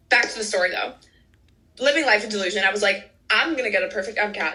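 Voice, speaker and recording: Animated, very fast speech in an American accent, with ordinary pitch variation and noticeable background noise. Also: woman, medium pitch for a woman. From US Midwest, Chicago suburbs. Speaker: medical student. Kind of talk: interview.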